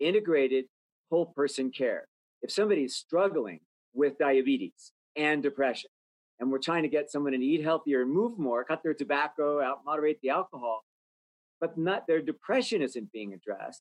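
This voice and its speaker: With an American accent and an unremarkable speaking voice, a man talks at a fairly quick pace and fairly high pitch with lively intonation, in a dry, close sound with no echo. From US, rural Idaho. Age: 60s. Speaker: healthcare nonprofit executive. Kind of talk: interview.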